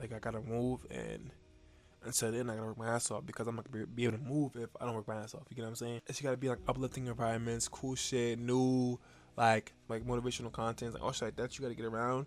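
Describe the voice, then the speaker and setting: A man talks very fast and quietly at a medium pitch. His intonation stays monotone and flat. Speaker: motivational vlogger. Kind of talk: casual motivational monologue. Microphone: new mic.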